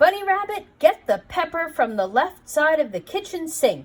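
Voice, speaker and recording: A woman puts on a character voice that is gruff and growling, with an extremely high pitch. She uses very wide pitch swings at a moderate pace. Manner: growling, gruff.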